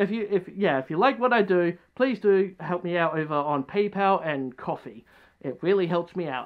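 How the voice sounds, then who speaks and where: A put-on character voice mumbles at a middle pitch. The pace is moderate. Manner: mumbling.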